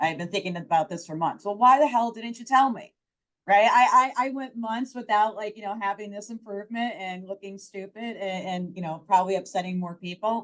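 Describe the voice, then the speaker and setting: A woman talks at a fairly quick pace in an animated tone. Her pitch variation is ordinary, and her loudness swings widely. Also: medium pitch for a woman. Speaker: startup founder and HR expert. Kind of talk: panel discussion.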